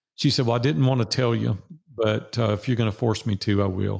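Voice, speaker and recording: Speaking with a Nashville accent, a man uses a fairly low pitch and vocal fry. His pace is moderate and his pitch varies in an ordinary way. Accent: Southern US (Nashville). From Nashville, Tennessee. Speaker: business coach and guest. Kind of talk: casual interview. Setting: video call.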